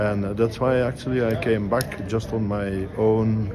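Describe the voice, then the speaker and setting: Through audible room echo and noticeable background noise, a man speaks at a fairly slow pace. His pitch is medium. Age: 70s. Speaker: conference attendee. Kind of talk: interview.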